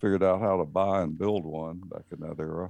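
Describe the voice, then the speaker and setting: Against a quiet background, a man talks in a Southern US accent at a fairly low pitch. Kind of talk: casual chat.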